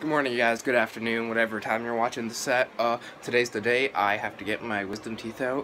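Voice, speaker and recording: Light background noise beneath a man talking fairly quickly. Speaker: vlogger. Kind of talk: casual vlog chat. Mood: nervous, a little scared. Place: home room. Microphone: phone near.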